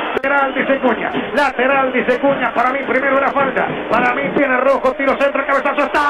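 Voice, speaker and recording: Over noticeable background noise, a man with an extremely high pitch uses a raised, projected voice, monotone and flat, very fast and at very even loudness. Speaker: radio sports commentator.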